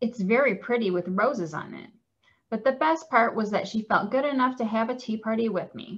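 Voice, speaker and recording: Speaking at a moderate pace, a woman uses a fairly high, somewhat breathy voice with lively intonation. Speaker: client services coordinator at a cancer wellness center. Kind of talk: children's storybook reading.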